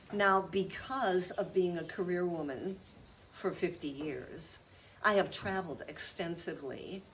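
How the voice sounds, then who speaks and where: A woman with an American accent at a fairly slow pace, with audible room echo and noticeable background noise. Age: 70s. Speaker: chiropractor and healer. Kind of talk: interview talk about health practice.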